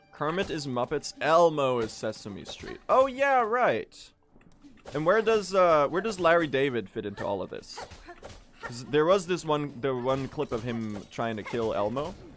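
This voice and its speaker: A man's fairly high pitch with very wide pitch swings, music in the background. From Sweden. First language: Swedish. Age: 20s. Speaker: video game speedrun streamer. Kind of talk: live stream chat while gaming. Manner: casual, halting with fillers.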